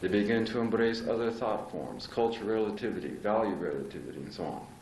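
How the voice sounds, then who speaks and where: Very fast speech from a man at medium pitch, ordinary pitch variation, noticeable background noise. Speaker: astrology lecturer. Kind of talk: live lecture to an audience.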